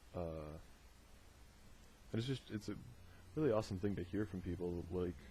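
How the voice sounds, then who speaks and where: A man with a very deep, low pitch speaks in a somewhat breathy voice with a dark, mellow tone, ordinary pitch variation, and long, frequent pauses. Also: moderate pace. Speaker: video diarist. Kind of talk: audio diary monologue. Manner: hesitant, many fillers.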